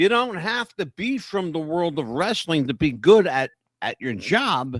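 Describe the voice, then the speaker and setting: A speaker with an American accent talks at a moderate pace in an animated tone, with very wide pitch swings. The recording is very clean and dry, close with no echo, over a silent background. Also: man. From northern US. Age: 60s. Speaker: wrestling podcast co-host. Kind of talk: casual chat.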